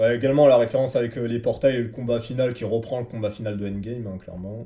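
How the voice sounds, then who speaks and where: A man with a dark, mellow, somewhat breathy voice of medium pitch talks very fast, with fairly even intonation and big swings in loudness. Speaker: manga review podcaster. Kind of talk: casual solo review. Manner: hesitant, many filler words.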